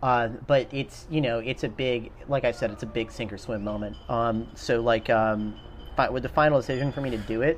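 A man with an ordinary speaking voice in an American accent, medium pitch, fairly even intonation and moderate pace. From South Carolina. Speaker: military veteran. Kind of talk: casual chat. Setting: outdoors.

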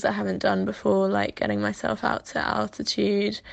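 A woman speaks with a Welsh accent over a quiet background. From Wales. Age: 20s. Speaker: athlete. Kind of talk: interview.

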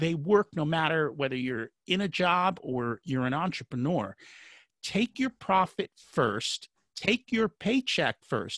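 Speaking at a fairly slow pace in an American accent, a man makes very wide pitch swings, recorded with a dry, close sound with no echo over a quiet background. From United States. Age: 50s. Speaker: financial coach. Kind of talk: interview.

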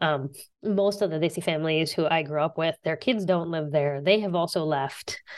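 This woman has a plain, everyday voice, pitched fairly low. She talks at a moderate pace. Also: ordinary pitch variation. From southern West Virginia. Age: 40s. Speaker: author and teacher. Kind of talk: interview.

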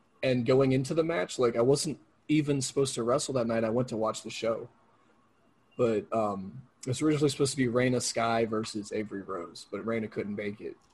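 Somewhat breathy, a man talks at a fairly quick pace and a medium pitch. His pitch variation is ordinary. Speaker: independent pro wrestler. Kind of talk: casual interview.

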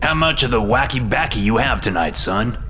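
Putting on a character voice at a medium pitch, a man speaks at a fairly quick pace against clear background noise. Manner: stern, authoritative.

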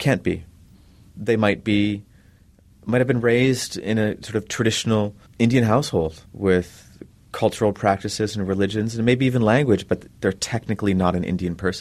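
In a quiet background, a man with a fairly low pitch has an unremarkable speaking voice. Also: ordinary pitch variation, moderate pace. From Minnesota, Leech Lake Reservation. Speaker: author and professor. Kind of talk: interview.

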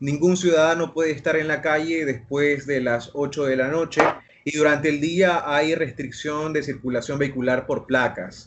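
Fairly high in pitch, a man with an unremarkable speaking voice talks at a moderate pace with fairly even intonation. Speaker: journalist. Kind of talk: casual chat.

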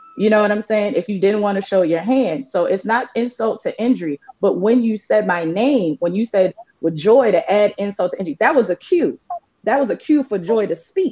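A woman talks at a moderate pace and medium pitch. Her tone is animated, her intonation lively. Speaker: reality show contestant. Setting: video call.

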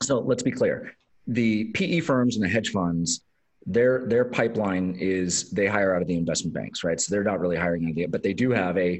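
This man has a very deep, low pitch with ordinary pitch variation. He talks at a fairly quick pace. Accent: West Coast American. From Los Angeles, US. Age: 40s. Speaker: tech executive and investor. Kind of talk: casual interview chat. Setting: remote call.

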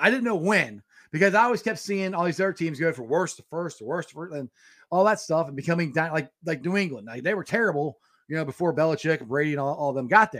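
With an Ohio accent, a man talks at a very fast pace in a high pitch and an animated tone. His loudness swings widely. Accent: Midwestern American (Ohio). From Cincinnati, Ohio. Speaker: sports podcast host. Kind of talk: casual sports chat livestream. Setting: home studio livestream.

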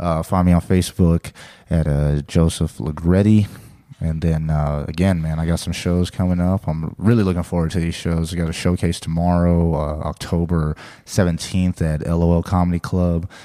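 A man's very deep, low voice with an American accent, dark and mellow in tone, monotone and flat, at a moderate pace. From San Diego, California. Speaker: stand-up comedian. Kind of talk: casual interview chat.

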